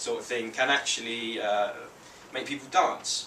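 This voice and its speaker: With audible room echo and noticeable background noise, a man with a London accent speaks at a moderate pace with ordinary pitch variation. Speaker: beatboxer. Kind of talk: public talk with demonstrations. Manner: halting, many fillers.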